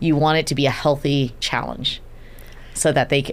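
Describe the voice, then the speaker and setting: A woman with a very deep, low pitch, an animated tone and a fairly quick pace. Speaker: event agency CEO. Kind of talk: podcast interview. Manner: fast.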